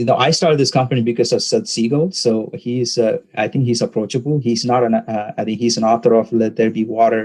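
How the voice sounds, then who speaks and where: A man speaks with a Tamil accent. His pitch is medium, and his pace is moderate. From southern India, Tamil Nadu. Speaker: tech startup founder. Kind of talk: interview. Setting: podcast recording. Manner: hesitant, many fillers.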